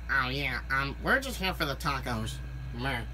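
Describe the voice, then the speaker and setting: Over loud background noise, a female-sounding put-on character voice speaks at a moderate pace. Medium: voice reel. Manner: lazy, sighing "meh".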